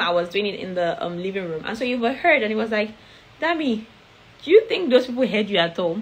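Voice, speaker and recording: Through noticeable background noise, a woman talks at a very fast pace with a fairly high pitch, an animated tone and lively intonation. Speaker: foreign-trained dentist sharing advice. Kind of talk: casual talk, advice video.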